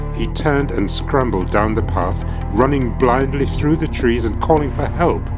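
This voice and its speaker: The speech moves at a fairly slow pace with music playing in the background. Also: man. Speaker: actor and scholar. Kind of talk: ghost story reading.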